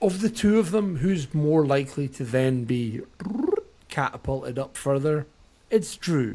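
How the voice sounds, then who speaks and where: A man with a Scottish accent speaks at a fairly slow pace, his pitch fairly high and his intonation lively. Noticeable background noise runs under his voice. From Scotland. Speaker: wrestling podcast co-host. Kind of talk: casual chat.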